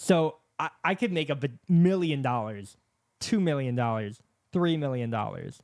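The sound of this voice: With lively intonation and a slightly mellow tone, a man talks at medium pitch and a moderate pace.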